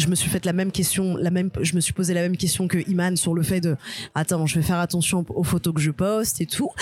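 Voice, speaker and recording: A woman at medium pitch, animated in tone, at a moderate pace. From Algerian and Guadeloupean heritage, France. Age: 30s. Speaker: stand-up comedian. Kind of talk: casual chat.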